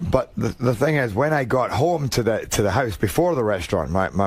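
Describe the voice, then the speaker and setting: Against noticeable background noise, a man with a strong Scottish accent speaks at a moderate pace, his pitch swinging very widely. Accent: thick Scottish. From Scotland. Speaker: actor. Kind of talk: radio interview. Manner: halting.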